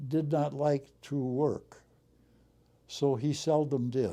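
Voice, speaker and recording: A dark, mellow tone at a very slow pace, with an American accent. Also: man. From US Midwest, Racine, Wisconsin. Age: 90s. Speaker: war veteran and retired airline pilot. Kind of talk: interview. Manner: hesitant, with many fillers.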